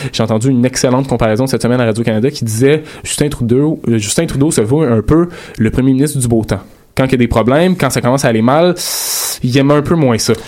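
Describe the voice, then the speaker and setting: The speech comes at a very fast pace in a Quebec accent, its loudness very even. Noticeable background noise sits behind it. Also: man, medium pitch for a man, ordinary pitch variation. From Quebec, South Shore of Montreal. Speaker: columnist on campus radio show. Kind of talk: casual panel discussion.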